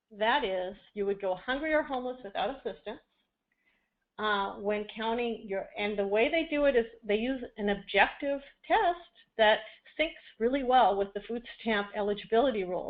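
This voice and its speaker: A woman with an unremarkable speaking voice talks at a moderate pace, fairly high-pitched, with ordinary pitch variation. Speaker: benefits policy expert presenter. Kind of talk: webinar presentation. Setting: webinar audio broadcast.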